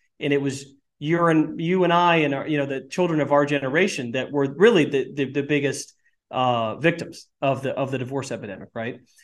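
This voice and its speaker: A man speaks in a normal speaking voice, fairly high in pitch. His pitch variation is ordinary. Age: 40s. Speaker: tech entrepreneur, video game company CEO. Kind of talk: podcast interview.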